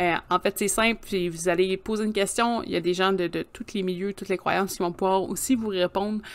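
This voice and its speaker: A woman talks at a fairly quick pace with hardly any pauses. Her medium-pitched voice has monotone, flat intonation. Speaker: podcast co-host. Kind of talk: casual chat.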